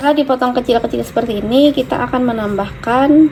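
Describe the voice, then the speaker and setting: Over noticeable background noise, a woman speaks in a fairly high pitch with ordinary pitch variation. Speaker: cooking vlogger. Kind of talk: cooking tutorial. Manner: softer than usual.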